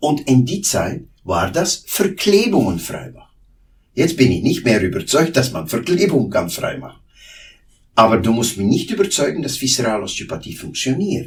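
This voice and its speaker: A man's medium-pitched voice with a Flemish accent, vocal fry and very wide pitch swings, at a moderate pace. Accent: Flemish Dutch accent in German. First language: Dutch (speaking German). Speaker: osteopath. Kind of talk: interview. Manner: halting.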